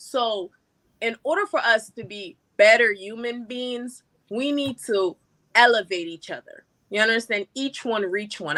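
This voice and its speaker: Her tone is bright and sharp, with lively intonation. The woman speaks at a moderate pace and a fairly high pitch. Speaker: business owner. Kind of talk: live stream panel discussion. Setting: online live stream. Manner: animated, repetitive filler 'you understand'.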